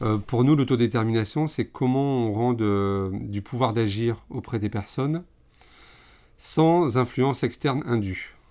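A dark, mellow tone comes through at a fairly slow pace with ordinary pitch variation in a very clean recording with a silent background. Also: man, medium pitch for a man. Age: 30s. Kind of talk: interview conversation. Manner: hesitant, many fillers and repetitions.

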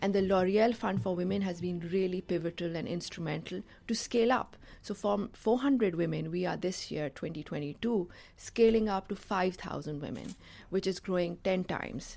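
On a very clean recording with a silent background, a woman with an American accent speaks at a medium pitch and moderate pace with ordinary pitch variation. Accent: Pakistani English, US-educated. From Pakistan. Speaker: nonprofit founder. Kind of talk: interview.

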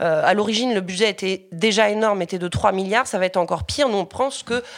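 On a very clean recording with a silent background, a woman speaks at a fairly quick pace with medium pitch and ordinary pitch variation. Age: 30s. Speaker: local election candidate and activist. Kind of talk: interview. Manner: hesitant with fillers and repetitions.

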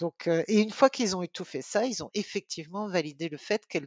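Here a woman talks at a fairly quick pace. Her pitch varies in an ordinary way. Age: 50s. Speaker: volunteer breeder family for guide dogs. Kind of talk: interview. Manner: hesitant, repeats words.

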